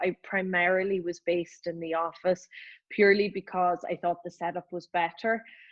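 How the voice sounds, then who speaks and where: Speaking at a fairly slow pace, a woman with a Northern Irish accent has a fairly low pitch. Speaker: lawyer, law firm partner. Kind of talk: casual interview.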